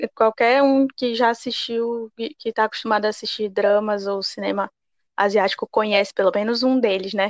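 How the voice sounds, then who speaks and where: A woman with a plain, everyday voice speaks at a fairly high pitch and a moderate pace, the sound dry and close with no echo. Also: fairly even intonation. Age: 20s. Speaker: podcast co-host. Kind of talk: casual chat.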